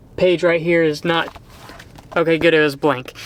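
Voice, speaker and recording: Noticeable background noise runs through the clip. A man talks with an American accent. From Texas, Sherman. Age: 30s. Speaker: vlogger. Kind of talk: casual monologue. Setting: in a car. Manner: halting, many fillers.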